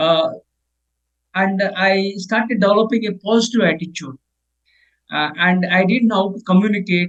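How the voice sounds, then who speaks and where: A man with an Indian accent, high-pitched, at a moderate pace with long, frequent pauses and fairly even intonation. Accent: Indian accent, noticeable. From India (Telugu-speaking region). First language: Telugu. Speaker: leadership author and professor. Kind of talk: interview. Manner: halting, many fillers and repetitions.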